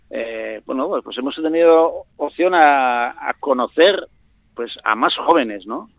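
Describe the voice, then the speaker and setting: Speaking at a very slow pace, a man with a fairly high pitch and ordinary pitch variation shows big swings in loudness. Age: 50s. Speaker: dairy farmer. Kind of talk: interview.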